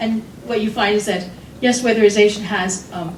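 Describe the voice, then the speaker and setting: A woman with an American accent talks at a very fast pace with ordinary pitch variation, amid audible room echo and noticeable background noise. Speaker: economist and consultant. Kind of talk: conference talk.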